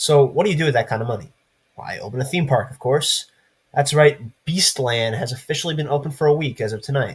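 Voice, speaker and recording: Over a very clean recording with a silent background, a man speaks very fast in a somewhat breathy voice. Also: fairly high pitch for a man, ordinary pitch variation. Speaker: news show host. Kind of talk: scripted news commentary. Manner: sarcastic.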